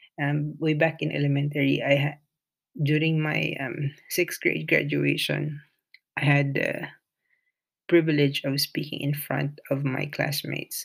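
A man speaks with a Filipino accent. His speech is broken by long, frequent pauses. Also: fairly slow pace. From Philippines. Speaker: nurse and podcaster. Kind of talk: solo monologue, reading a blog excerpt. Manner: halting, hesitant with fillers.

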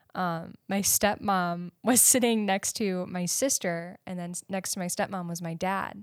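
A woman's ordinary speaking voice, medium in pitch, at a fairly slow pace, on a very clean recording with a silent background. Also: fairly even intonation, dry, close sound with no echo. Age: 20s. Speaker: podcast co-host. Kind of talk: casual chat.

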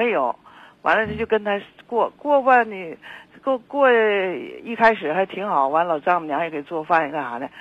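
A woman at a moderate pace, with very wide pitch swings and big swings in loudness. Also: medium pitch for a woman. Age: 70s. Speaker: caller. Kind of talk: phone-in chat. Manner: halting, repetitive.

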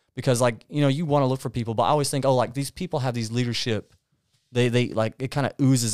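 A man talks at a very fast pace with an Appalachian accent. His pitch is medium, and the recording is very clean with a silent background. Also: dry, close sound with no echo. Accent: Appalachian Southern US. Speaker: podcast co-host, church member. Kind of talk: casual chat. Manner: stutters occasionally.

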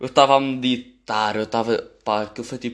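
Against a quiet background, a man talks at a very fast pace. His pitch sits in the medium range. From Portugal, Amadora (Lisbon area). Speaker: podcaster. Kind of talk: casual monologue. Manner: rambling, casual slang-heavy.

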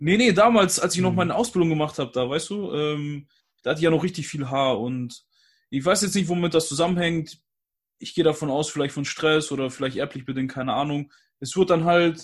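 With an unremarkable speaking voice, a man speaks at a fairly quick pace in a fairly high pitch with ordinary pitch variation against a quiet background. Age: 20s. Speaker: guest, YouTuber. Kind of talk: casual chat. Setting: video call.

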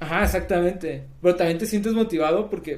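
A man's high-pitched voice shows ordinary variation in pitch. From Mexico, southern Sinaloa. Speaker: software developer and startup founder. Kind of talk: casual interview.

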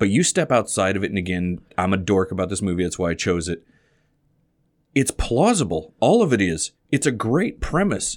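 With lively intonation, a man with an ordinary speaking voice talks at a moderate pace and a fairly low pitch. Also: very clean recording, silent background. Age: 40s. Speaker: softball podcast host. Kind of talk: casual chat.

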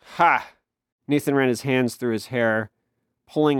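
Reading aloud in a natural voice takes place against a quiet background.

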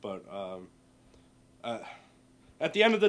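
Moderate pace and lively intonation from a man at medium pitch. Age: 20s. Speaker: cook. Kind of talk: casual chat.

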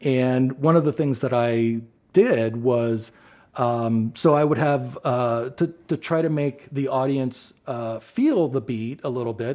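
Speaking at a very slow pace, a man with a medium pitch talks with an American accent. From Ohio, Athens. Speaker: drummer. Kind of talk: casual chat.

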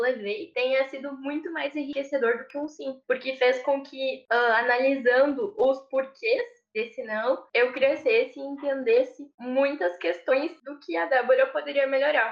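At a fairly slow pace, a woman talks in a high pitch with lively intonation. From southern Brazil, Rio Grande do Sul. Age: 20s. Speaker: engineering intern and student. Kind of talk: interview.

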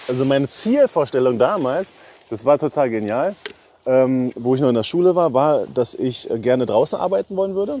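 A man's voice at medium pitch. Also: dry, close sound with no echo. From eastern Germany, Brandenburg. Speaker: railway wagon inspector supervisor. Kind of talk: casual interview during a site tour.

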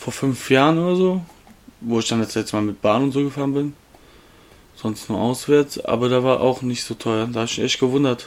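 Speaking at a moderate pace, a man with a medium-pitched voice leaves long, frequent pauses. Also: ordinary pitch variation. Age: 20s. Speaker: podcast co-host. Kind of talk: casual chat. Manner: loud.

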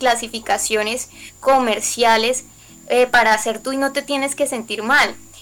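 Over noticeable background noise, a woman talks at a high pitch and fairly slow pace with fairly even intonation. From Colombia. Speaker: singer-songwriter. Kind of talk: interview.

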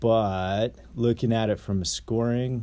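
A man speaks in a relaxed tone. His voice is dark and mellow. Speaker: podcast host. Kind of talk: solo monologue podcast. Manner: too relaxed, low energy; rambling, casual, filler words.

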